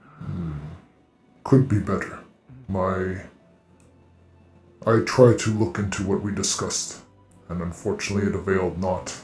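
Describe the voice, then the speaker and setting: Over faint music in the background, a man uses a put-on character voice at a fairly low pitch, moving at a moderate pace with long, frequent pauses. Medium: actual play. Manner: formal, archaic phrasing.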